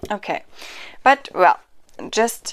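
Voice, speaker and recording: On a very clean recording with a silent background, a woman with a non-native accent speaks at a very slow pace with ordinary pitch variation. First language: not English. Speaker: tarot card reviewer. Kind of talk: product review and unboxing. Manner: halting, many fillers.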